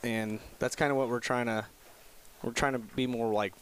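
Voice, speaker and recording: Speaking at a very fast pace, a man keeps his intonation fairly even. His pitch is medium. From Wyoming. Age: 20s. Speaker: hunting guide and podcast host. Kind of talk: casual chat.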